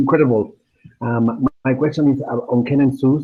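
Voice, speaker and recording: Speaking at a fairly quick pace, this man has a medium pitch and fairly even intonation. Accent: Spanish. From Argentina. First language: Spanish. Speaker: web designer. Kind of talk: audience question. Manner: halting.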